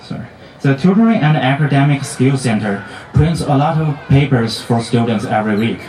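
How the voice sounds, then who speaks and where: A man's medium-pitched voice with lively intonation at a moderate pace, plus audible room echo and noticeable background noise. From outside the US, international student. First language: not English. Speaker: student speaker, graduate. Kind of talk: commencement speech. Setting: stage with audience at graduation ceremony. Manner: halting, with self-corrections.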